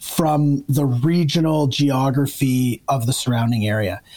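Fairly slow speech with a Canadian accent and lively intonation, dark and mellow in tone and somewhat breathy. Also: man. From Ontario, Canada (north of Toronto). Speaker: retired army officer turned investor. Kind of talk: casual interview conversation.

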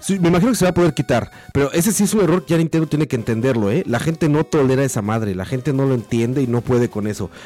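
At a very fast pace with hardly any pauses, a man speaks in a fairly high pitch with lively intonation. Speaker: video game commentator. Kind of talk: casual chat.

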